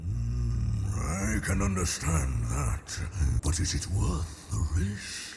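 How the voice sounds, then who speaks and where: A man's cartoonish character voice, very deep and low, at a very slow pace over clear background noise. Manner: smug, condescending.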